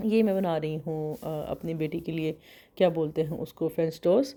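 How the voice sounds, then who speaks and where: Heard in a very clean recording with a silent background, a woman with a dark, mellow tone speaks with fairly even intonation. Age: young. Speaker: vlogger. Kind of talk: casual vlog narration.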